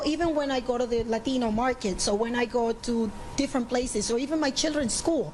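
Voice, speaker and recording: Over noticeable background noise, a high-pitched woman with a Panamanian accent talks very fast, her loudness very even and her pitch varying in an ordinary way. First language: Spanish. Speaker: interviewee, community member. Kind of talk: interview.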